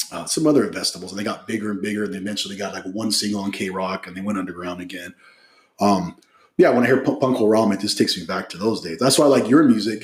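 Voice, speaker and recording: Talking very fast with an American accent, a man uses a fairly low pitch, ordinary pitch variation and big swings in loudness. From Southern California. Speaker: podcast host. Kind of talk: casual interview chat.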